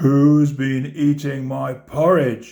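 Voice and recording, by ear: A man puts on a character voice at a fairly high pitch.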